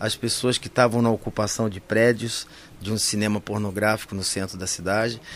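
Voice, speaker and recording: In a normal speaking voice, a man at medium pitch talks at a moderate pace with ordinary pitch variation. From Campinas, São Paulo state, Brazil. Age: 60s. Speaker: actor and clown. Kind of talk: interview.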